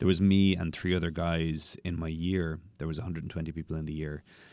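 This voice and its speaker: A man with a Dublin accent speaks in a very deep, low pitch and monotone, flat intonation on a very clean recording with a silent background. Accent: Irish (Dublin). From Dublin, Ireland. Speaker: bartender. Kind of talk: interview conversation.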